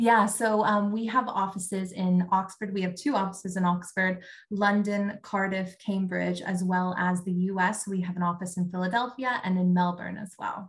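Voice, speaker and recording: In a somewhat breathy, monotone voice, a woman speaks at a moderate pace with hardly any pauses. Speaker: talent acquisition recruiter. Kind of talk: casual interview. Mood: friendly, relaxed. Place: home room. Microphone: video call.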